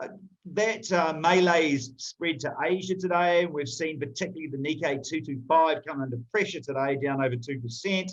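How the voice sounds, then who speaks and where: An unremarkable speaking voice, delivered at a moderate pace. Its pitch varies in an ordinary way. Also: man, fairly high pitch for a man. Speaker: market analyst. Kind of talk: market commentary.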